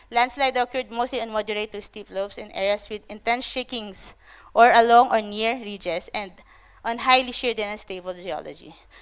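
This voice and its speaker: On a very clean recording with a silent background, the speaker moves at a fairly quick pace with ordinary pitch variation and big swings in loudness. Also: woman, fairly high pitch for a woman. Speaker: conference presenter, landslide researcher. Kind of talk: conference presentation. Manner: fast.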